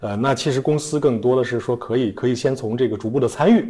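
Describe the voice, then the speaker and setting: This man's dark, mellow tone comes out somewhat breathy as he talks at a fairly quick pace with ordinary pitch variation. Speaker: designer turned entrepreneur, executive. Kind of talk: interview answers. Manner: hesitant, many fillers.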